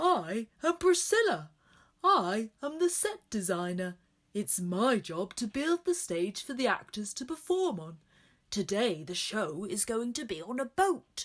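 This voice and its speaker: A put-on character voice, female-sounding and fairly high, with very wide pitch swings at a fairly slow pace. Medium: read story.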